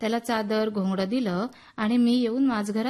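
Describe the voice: This is plain reading aloud. It is delivered as a straightforward reading.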